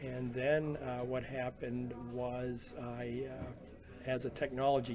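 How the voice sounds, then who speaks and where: Music plays in the background as a man speaks at a medium pitch, with audible room echo. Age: 70s. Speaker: retired printing business owner. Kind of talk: oral history interview. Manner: halting, many fillers.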